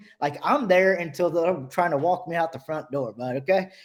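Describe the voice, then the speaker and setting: This man's voice is high in pitch and animated in tone. He moves along at a fairly quick pace. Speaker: HVAC business owner and trainer. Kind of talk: webinar discussion. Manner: fast.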